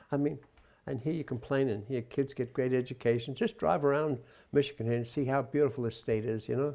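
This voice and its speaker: A man speaks at a fairly quick pace with a dark, mellow tone and medium pitch, on a very clean recording with a silent background. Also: ordinary pitch variation. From New York City (Brooklyn). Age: 90s. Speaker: war veteran. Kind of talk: oral history interview. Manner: halting.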